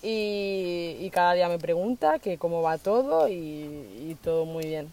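Very slow and dark, mellow in tone, a woman's fairly low voice shows ordinary pitch variation. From Spain (raised from age 7, born in Colombia). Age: 20s. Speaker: social worker, van-life traveller. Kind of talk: interview conversation. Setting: outdoors on a rural plot.

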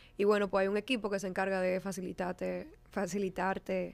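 Recorded very cleanly against a silent background, a woman of medium pitch talks at a moderate pace. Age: 20s. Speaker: fashion stylist. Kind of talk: casual chat.

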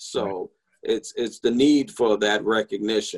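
A man with a New York accent, dry and close with no echo. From New York, the Bronx. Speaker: corporate chef. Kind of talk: interview.

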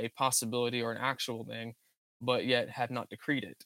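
A man with an American accent speaks in an unremarkable speaking voice at a medium pitch. The recording is very clean with a silent background, dry and close with no echo. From Virginia, US. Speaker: theology graduate. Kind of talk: theological discussion.

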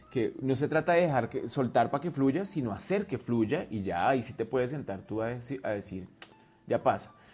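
Music plays in the background as a man talks at medium pitch. His intonation is lively and his pace moderate. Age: 40s. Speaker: drag artist, dance teacher and dancer. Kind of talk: casual chat.

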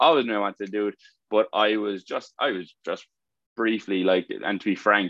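A man with a Limerick accent speaks at a fairly low pitch with fairly even intonation. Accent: Irish (Limerick). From Ireland, County Limerick. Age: 20s. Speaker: fitness coach. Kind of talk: casual talk to online community. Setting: video call. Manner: hesitant, many fillers.

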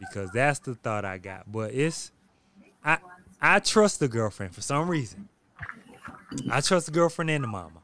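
A man's medium-pitched voice at a moderate pace, with very wide pitch swings, big swings in loudness and long, frequent pauses. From South Carolina. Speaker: podcast host. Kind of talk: casual chat. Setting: recording at a beach resort.

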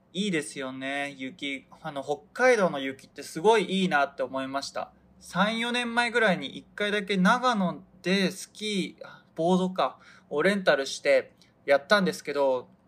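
A man's high-pitched voice moves at a fairly slow pace with lively intonation. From Hokkaido, Japan. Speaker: podcast host, model photographer and stage actor. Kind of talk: casual solo talk. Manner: slow, stumbling over words.

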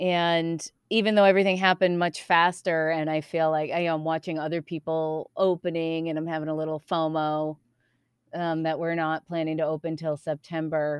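A woman with an American accent, fairly low in pitch, at a moderate pace with monotone, flat intonation. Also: dry, close sound with no echo. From US East Coast. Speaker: improv comedian and theater founder. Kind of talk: casual interview.

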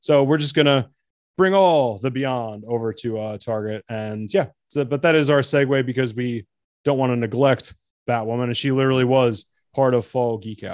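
With an American accent, a man talks at a moderate pace in an unremarkable speaking voice with ordinary pitch variation. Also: medium pitch for a man. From New Jersey. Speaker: podcast host. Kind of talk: casual chat.

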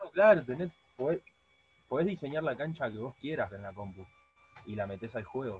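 A man's speech with very wide pitch swings, big swings in loudness and long, frequent pauses. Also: medium pitch for a man, moderate pace. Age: 20s. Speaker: podcast co-host. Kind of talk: casual chat.

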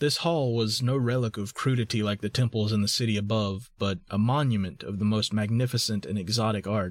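The recording is very clean with a silent background. It carries an unremarkable speaking voice at a fairly quick pace with ordinary pitch variation. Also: man. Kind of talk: scripted narration. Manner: formal, archaic reading aloud.

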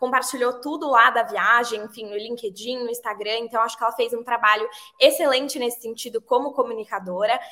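Her pitch is high and her tone bright and sharp. The woman moves at a fairly quick pace with fairly even intonation. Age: 20s. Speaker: advertising professional. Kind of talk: casual chat.

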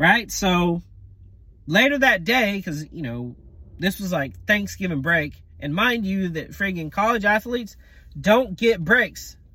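A man projects his voice loudly in an American accent, pitched high with a bright, sharp tone. His intonation is lively. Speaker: podcaster. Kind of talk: casual monologue. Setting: parked car in parking lot. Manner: casual, filler-heavy.

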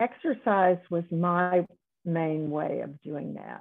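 A woman with an American accent speaks in a plain, everyday voice, fairly low in pitch, with ordinary pitch variation. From US South. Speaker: retired neonatologist. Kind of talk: interview.

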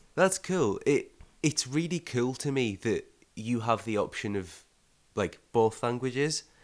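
A man at medium pitch with a plain, everyday voice, lively intonation and a fairly slow pace, on a very clean recording with a silent background. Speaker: podcast host. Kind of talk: casual interview.

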